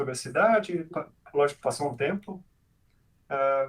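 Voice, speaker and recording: A man's voice, somewhat breathy, shows ordinary pitch variation. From Brazil, Santa Catarina and Goiânia. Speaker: software engineering manager. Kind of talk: casual interview chat. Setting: live stream video call.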